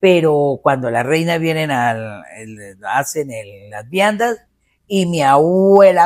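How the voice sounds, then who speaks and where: Very slowly, a woman speaks in a very deep, low pitch with lively intonation. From Colombia, Huila (Pitalito rural area). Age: 70s. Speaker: retired teacher and rural knowledge keeper. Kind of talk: interview conversation. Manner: halting, many fillers and restarts.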